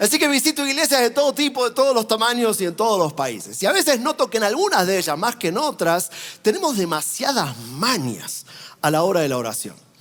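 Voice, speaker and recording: With noticeable background noise behind him, a man talks at a fairly quick pace and high pitch, his pitch swinging very widely. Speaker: traveling preacher. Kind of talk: sermon.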